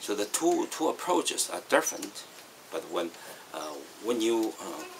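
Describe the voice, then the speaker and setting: Noticeable background noise is audible. Through it, a man speaks at a moderate pace. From Northeast China. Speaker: Dao teacher. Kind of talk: philosophical talk. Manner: hesitant, many fillers.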